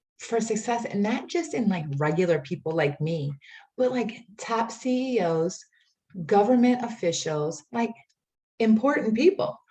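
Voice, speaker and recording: Pitch swings very widely in this somewhat breathy voice. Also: woman. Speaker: life coach. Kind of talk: workshop presentation. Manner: casual, filler-heavy.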